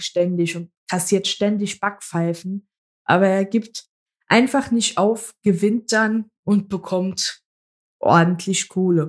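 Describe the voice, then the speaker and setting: A woman's very slow speech with fairly even intonation. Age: 20s. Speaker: podcast co-host. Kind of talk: casual chat.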